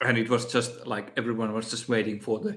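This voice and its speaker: With a Finnish accent and a medium pitch, a man speaks over noticeable background noise. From Finland. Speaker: miniature painting youtuber. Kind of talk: live stream Q&A. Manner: halting, many fillers and repeats.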